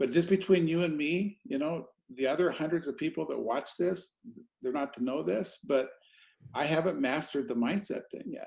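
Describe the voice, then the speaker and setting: A man's fairly high voice with vocal fry. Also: moderate pace. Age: 60s. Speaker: podcast host. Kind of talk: interview.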